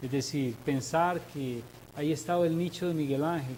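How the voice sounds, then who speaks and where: A man uses a normal speaking voice, keeping to a moderate pace. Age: 60s. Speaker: sculptor. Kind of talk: interview. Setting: TV studio.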